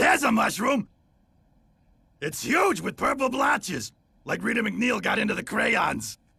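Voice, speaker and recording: Using a cartoonish character voice pitched extremely high, a man talks at a moderate pace with long, frequent pauses. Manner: giggly, manic.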